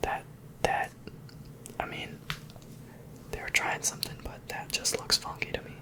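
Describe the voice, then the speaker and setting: Whispering at a fairly slow pace, a man speaks over noticeable background noise. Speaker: ASMR creator. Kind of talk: ASMR whispered show-and-tell. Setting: home recording with some background noise. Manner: whispered.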